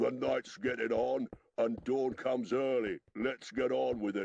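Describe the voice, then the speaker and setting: A man's gruff, medium-pitched put-on character voice. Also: moderate pace. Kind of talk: audiobook character voicing. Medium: read story. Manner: coarse, gruff, argumentative.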